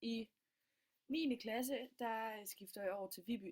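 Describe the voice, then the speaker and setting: A woman's fairly high voice. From Denmark, Funen (Middelfart). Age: 20s. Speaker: student. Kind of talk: self-presentation. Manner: halting, many fillers.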